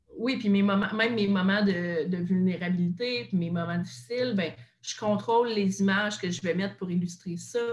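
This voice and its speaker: Through noticeable background noise, a woman talks at medium pitch. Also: ordinary pitch variation, moderate pace. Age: 20s. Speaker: content creator and podcaster. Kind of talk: casual interview chat.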